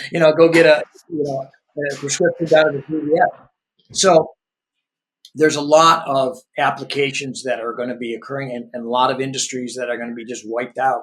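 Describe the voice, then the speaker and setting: Talking at a fairly quick pace with long, frequent pauses, a man has a fairly high pitch, ordinary pitch variation and big swings in loudness. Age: 60s. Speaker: entrepreneur and business executive. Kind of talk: podcast interview conversation. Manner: conversational, many filler words and restarts.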